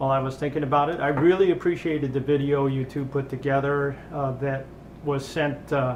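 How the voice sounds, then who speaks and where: Some room echo is audible as a man with an American accent speaks at a fairly high pitch. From US Midwest. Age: 60s. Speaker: retired meteorologist. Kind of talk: personal video message. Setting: home kitchen. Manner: halting.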